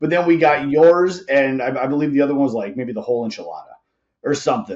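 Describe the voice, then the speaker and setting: Talking at a very fast pace, a man uses a fairly high voice with lively intonation. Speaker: podcast host and tattoo artist. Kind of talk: casual interview chat.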